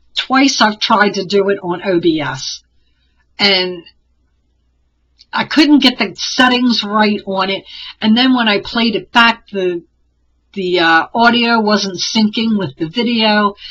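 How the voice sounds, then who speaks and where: Speaking at a very slow pace, a woman uses ordinary pitch variation and takes long, frequent pauses. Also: medium pitch for a woman. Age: 60s. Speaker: crafter and online t-shirt seller. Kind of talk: casual vlog monologue. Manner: conversational, with fillers.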